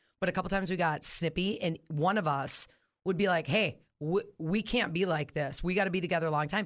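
In a normal speaking voice, a woman speaks at a fairly quick pace in a fairly low pitch, with ordinary pitch variation and very even loudness on a very clean recording with a silent background. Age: 40s. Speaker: coworker of the host, mother of two. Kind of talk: casual chat.

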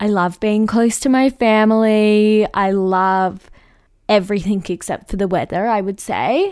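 A woman speaks in an Australian accent at a fairly slow pace, her pitch fairly high and her intonation fairly even. The recording is very clean, with a silent background. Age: 20s. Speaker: podcast host. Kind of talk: casual monologue. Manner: chatty.

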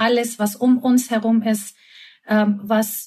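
With a Turkish accent, a woman speaks in a somewhat breathy, fairly high voice with ordinary pitch variation. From Turkey, Istanbul. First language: Turkish (speaking German). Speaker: concert pianist and creativity consultant. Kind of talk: interview.

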